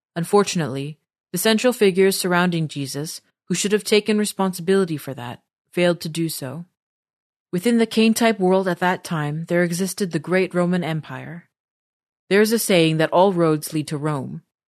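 Speaking at a fairly quick pace, a woman has an ordinary speaking voice, fairly low in pitch, with ordinary pitch variation. The sound is dry and close with no echo, over a quiet background. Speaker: podcast narrator. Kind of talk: reading aloud. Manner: formal.

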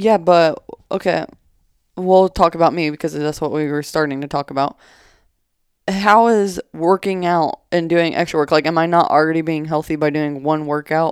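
A woman's fairly low voice at a moderate pace, dry and close with no echo, on a very clean recording with a silent background. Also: fairly even intonation. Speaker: podcast co-host. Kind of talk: casual chat.

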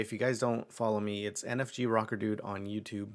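In a very clean recording with a silent background, a man with a fairly low pitch talks at a fairly quick pace in a relaxed tone and a monotone, flat intonation. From Mexico, moved to US at age eight. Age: 30s. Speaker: podcast host. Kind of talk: casual monologue. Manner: relaxed, filler-heavy.

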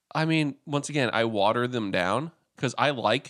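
An ordinary speaking voice goes at a moderate pace with ordinary pitch variation. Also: man. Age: 30s. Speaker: podcast co-host. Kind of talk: casual chat. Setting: at a co-host's house.

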